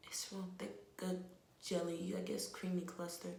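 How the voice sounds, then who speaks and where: A woman with a New Jersey accent, fairly low-pitched, with audible room echo and noticeable background noise. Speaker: natural hair vlogger. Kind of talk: hair care tutorial. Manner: casual, chatty.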